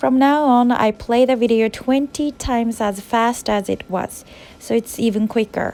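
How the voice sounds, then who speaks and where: A woman with a Japanese accent, fairly high in pitch, at a moderate pace. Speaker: university student and English teacher. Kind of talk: vlog narration.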